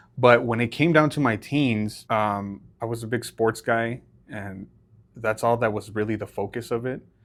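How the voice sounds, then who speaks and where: With a Spanish accent, a man speaks in fairly even intonation. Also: medium pitch for a man, moderate pace, very clean recording, silent background. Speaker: podcast co-host. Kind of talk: casual chat.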